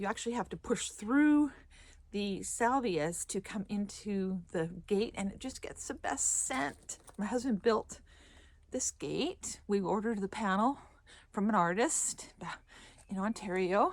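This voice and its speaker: Using a plain, everyday voice, a woman talks fairly slowly at medium pitch with lively intonation. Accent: Canadian. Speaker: gardener. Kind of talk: garden tour walkthrough. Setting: outdoors in garden. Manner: casual, self-correcting.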